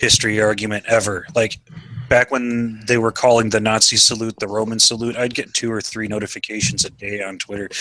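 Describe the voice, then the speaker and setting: A man's medium-pitched voice at a fairly quick pace, flat and monotone in intonation, with noticeable background noise. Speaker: YouTuber. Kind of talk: casual chat.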